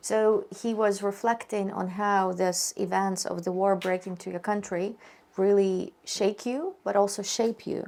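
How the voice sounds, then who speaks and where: Monotone, flat intonation at a fairly slow pace. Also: woman, medium pitch for a woman. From Ukraine. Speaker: interviewer. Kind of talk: interview.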